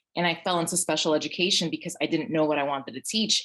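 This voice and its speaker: Talking at a very fast pace, a woman with a New York accent uses a fairly low pitch and ordinary pitch variation. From Brooklyn, New York. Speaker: teacher. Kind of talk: panel discussion.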